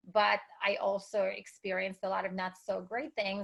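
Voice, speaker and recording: The speaker is a woman. She talks with a Russian accent. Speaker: entrepreneur and speaker. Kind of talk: interview.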